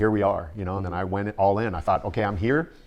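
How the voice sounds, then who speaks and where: A man with a Midwestern American accent, fairly low in pitch, very fast and fairly even in intonation, against a quiet background. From US Midwest (Canton, Ohio). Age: 60s. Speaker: fitness personality and former Marine. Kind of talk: interview.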